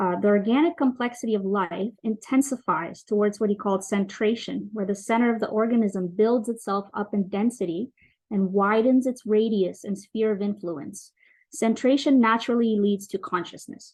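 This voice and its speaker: A woman's somewhat breathy, fairly high voice with ordinary pitch variation, over a quiet background. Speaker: conference presenter. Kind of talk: academic presentation. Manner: fast.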